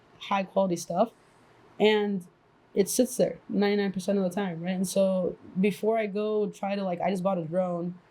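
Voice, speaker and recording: Speaking at a moderate pace with a non-native accent, a woman uses a medium pitch, a dark, mellow tone, somewhat breathy delivery and monotone, flat intonation. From immigrated to the US as a child. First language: not English. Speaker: podcast co-host and fitness trainer. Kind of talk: casual chat. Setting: podcast recording with mics and camera.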